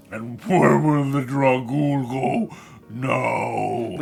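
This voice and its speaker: A man's put-on character voice at a very slow pace over light background noise. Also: medium pitch for a man. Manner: sad, whiny.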